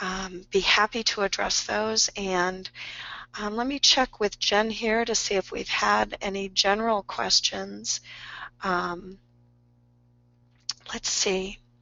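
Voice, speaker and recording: With long, frequent pauses, a woman speaks at a very slow pace, her pitch varying in an ordinary way. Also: medium pitch for a woman. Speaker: health insurance specialist and educator. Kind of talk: webinar presentation. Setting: online webinar. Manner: hesitant with many fillers.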